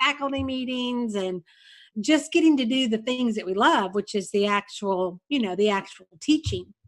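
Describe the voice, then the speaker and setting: Here a woman has an unremarkable speaking voice, fairly high in pitch with lively intonation, at a moderate pace. The recording is very clean, with a silent background. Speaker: retired kindergarten teacher. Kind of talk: casual interview.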